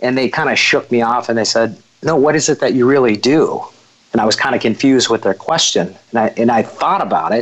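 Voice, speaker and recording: The man talks fairly quickly, his pitch varying in an ordinary way. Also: medium pitch for a man. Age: 40s. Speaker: recruiting firm founder. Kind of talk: interview conversation. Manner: halting, many fillers.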